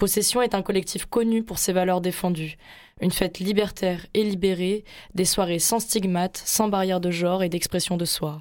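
A woman with a plain, everyday voice, medium pitch, fairly even intonation and moderate pace in a very clean recording with a silent background. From Marseille, southern France. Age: 20s. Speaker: radio host. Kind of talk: scripted narration.

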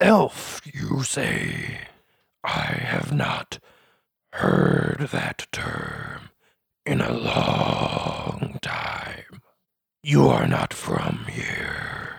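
Using a raspy put-on character voice, a man speaks at a very slow pace. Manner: wistful, bitter, quieter.

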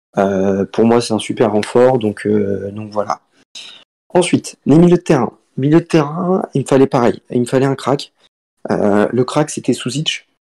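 The voice has a dark, mellow tone and lively intonation at a fairly slow pace. The sound is dry and close, with no echo. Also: man, medium pitch for a man. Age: 20s. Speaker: student and fantasy football player. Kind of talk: casual interview. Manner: halting.

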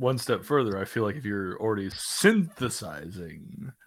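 Recorded very cleanly against a silent background, a man with an ordinary speaking voice talks at a fairly low pitch and moderate pace with ordinary pitch variation. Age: 30s. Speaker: carpenter and podcast guest. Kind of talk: casual chat.

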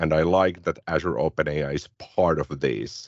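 A man talks with a Finnish accent. He keeps a moderate pace. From Finland. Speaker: tech podcast co-host. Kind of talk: casual tech discussion.

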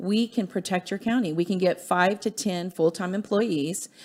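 A woman with an American accent uses a normal speaking voice at a moderate pace with ordinary pitch variation, on a very clean recording with a silent background. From US military family. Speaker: grassroots political activist. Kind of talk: studio interview. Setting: studio.

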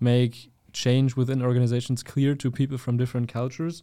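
The recording is very clean, with a silent background. A man with a medium pitch and a dark, mellow tone speaks at a moderate pace in a monotone, flat intonation. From Germany. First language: German. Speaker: university student. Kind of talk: casual chat.

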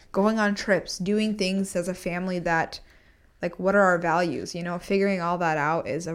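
A woman with an unremarkable speaking voice talks at a fairly quick pace and a fairly low pitch. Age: 20s. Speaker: podcast co-host. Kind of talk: casual chat.

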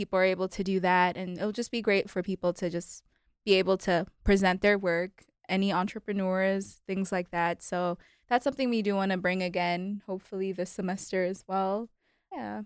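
A woman with a plain, everyday voice speaks at a moderate pace and medium pitch, recorded very cleanly with a silent background and a dry, close sound with no echo. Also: fairly even intonation. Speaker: student club co-founder. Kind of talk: radio interview.

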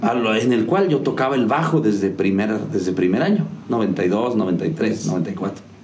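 A man speaks at a fairly slow pace with lively intonation and very even loudness over noticeable background noise. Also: medium pitch for a man. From Mexico, Hidalgo. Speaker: musician and music teacher. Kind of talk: interview. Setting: video show.

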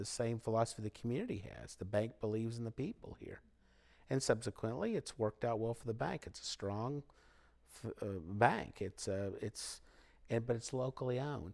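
On a very clean recording with a silent background, a man with an American accent talks at a moderate pace, medium pitch, and fairly even intonation. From Missouri Ozarks (Willow Springs). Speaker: local newspaper publisher. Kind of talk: casual interview conversation. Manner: halting, with frequent repetitions and fillers.

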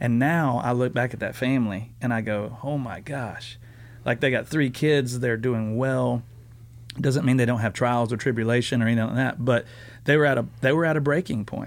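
A man with a Southern US accent, at a moderate pace and with fairly even intonation. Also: medium pitch for a man. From US South. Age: 30s. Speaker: student pastor. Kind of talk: casual chat.

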